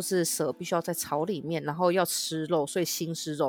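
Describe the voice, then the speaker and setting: A woman talks at a fairly quick pace in a plain, everyday voice. Her pitch is fairly low and her intonation fairly even. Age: 30s. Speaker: podcast co-host. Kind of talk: casual chat.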